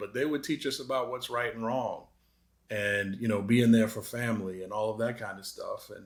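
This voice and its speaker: At a moderate pace, a man talks in a medium-pitched voice with fairly even intonation. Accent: slight Boston. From Massachusetts, Boston area. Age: 50s. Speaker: anti-racism advocate. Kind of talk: interview. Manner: hesitant, many fillers.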